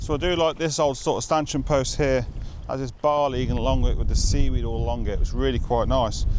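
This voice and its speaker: A man with a British accent speaks at a fairly quick pace. Audible room echo and noticeable background noise fill the recording. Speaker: photographer, show presenter. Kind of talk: vlog narration on location. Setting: outdoors by the coast. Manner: quiet, hushed.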